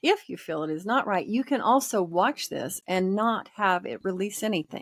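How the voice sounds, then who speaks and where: At a moderate pace, a woman with a medium pitch uses a plain, everyday voice and lively intonation, recorded with a dry, close sound and no echo. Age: 60s. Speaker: energy healing practitioner. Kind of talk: interview.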